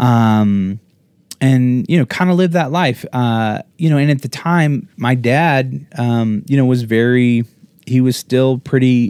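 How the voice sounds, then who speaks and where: A man speaks with an American accent in a normal speaking voice, at medium pitch and a fairly slow pace with ordinary pitch variation. The sound is dry and close, with no echo. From Colorado, US. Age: 40s. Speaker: podcast co-host, entrepreneur. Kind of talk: casual chat, life story interview. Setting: livestreamed video podcast.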